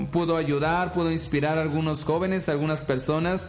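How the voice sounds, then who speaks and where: A man is speaking here. Noticeable background noise and audible room echo surround his voice. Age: 30s. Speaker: podcast host and pastor. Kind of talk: inspirational monologue.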